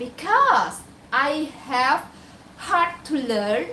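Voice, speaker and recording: Speaking in a raised, projected voice with an Indonesian accent, a woman uses high pitch and lively intonation at a very slow pace. Room echo is audible, along with noticeable background noise. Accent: Indonesian (Javanese) accent in English. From Indonesia (Java). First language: Javanese. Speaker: domestic helper and vlogger. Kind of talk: casual vlog talk.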